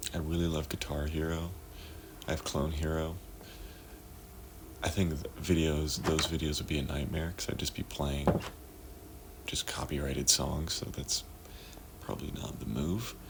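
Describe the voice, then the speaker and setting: Against noticeable background noise, a soft-spoken man talks in a very deep, low voice. His intonation is fairly even, at a moderate pace with long, frequent pauses. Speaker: gaming vlogger. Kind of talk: casual gameplay chat. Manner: halting.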